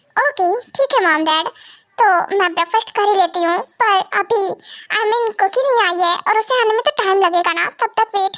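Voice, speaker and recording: A woman puts on a character voice at an extremely high pitch, keeping the loudness very even and the pace fairly quick. Long, frequent pauses break up her speech, and the sound is dry and close with no echo. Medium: read story. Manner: hurried, polite.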